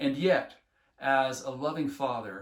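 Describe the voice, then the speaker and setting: A man is speaking. His voice carries vocal fry. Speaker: health education teacher trainer. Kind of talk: instructional talk. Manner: earnest, enthusiastic.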